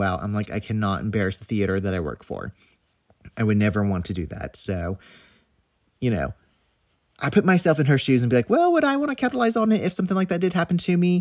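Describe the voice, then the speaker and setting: Rushing along very fast, a man's pitch leaps across a very wide range. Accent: Southern US. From US South; North Carolina. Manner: casual, conversational.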